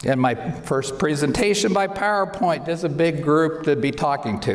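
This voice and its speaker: There is noticeable background noise and audible room echo as a man speaks in a high-pitched voice. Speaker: optometrist. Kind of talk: lecture.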